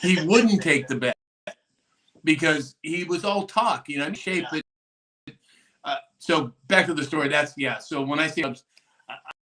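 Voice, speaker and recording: A man with an American accent talks at a fairly high pitch with ordinary pitch variation and long, frequent pauses. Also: fairly slow pace. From East Los Angeles. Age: 60s. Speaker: show host, fitness guy. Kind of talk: casual live-stream chat. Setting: live stream.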